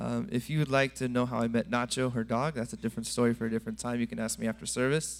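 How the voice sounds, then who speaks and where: Speaking with an American accent, a man talks at a very fast pace with hardly any pauses. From California. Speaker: church member giving testimony. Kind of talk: testimony. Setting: church.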